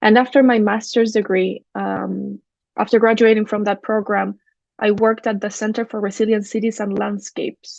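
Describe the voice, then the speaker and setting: Speaking with a Spanish accent, the woman keeps to a moderate pace. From Chile (Valparaíso). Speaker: architect and urban designer. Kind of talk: academic presentation.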